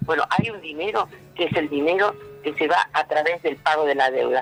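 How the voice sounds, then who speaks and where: The speaker talks at a moderate pace. Music plays in the background. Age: 60s. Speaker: left-wing activist and candidate. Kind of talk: radio interview. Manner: halting, many fillers.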